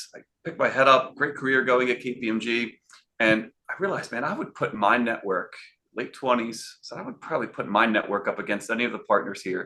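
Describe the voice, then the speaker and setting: In a Philadelphia accent, a man with a bright, sharp tone talks at a fairly quick pace, his medium pitch showing ordinary variation. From Philadelphia, US. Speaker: sales and networking consultant. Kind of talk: interview. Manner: animated.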